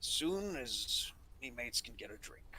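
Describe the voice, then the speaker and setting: Over clear background noise, a man uses a put-on character voice at a moderate pace. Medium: actual play. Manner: gruff, blunt.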